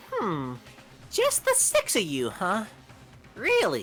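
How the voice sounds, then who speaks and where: A put-on character voice, female-sounding, at a fairly slow pace. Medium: fan dub. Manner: playful, taunting.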